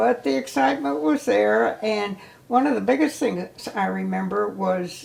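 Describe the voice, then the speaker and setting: A woman speaks at a fairly slow pace, her pitch swinging very widely. Noticeable background noise sits under her voice. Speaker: ski instructor. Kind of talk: oral history interview. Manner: reminiscent, hesitant.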